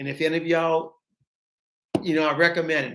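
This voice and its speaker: A man is speaking. He has a Southern US accent. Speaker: beekeeper. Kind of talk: live stream chat. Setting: office. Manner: halting.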